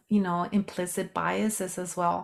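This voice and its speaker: A woman with a slight Mexican accent on a very clean recording with a silent background. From Mexico. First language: Spanish. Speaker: sociologist and health coach. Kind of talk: podcast interview.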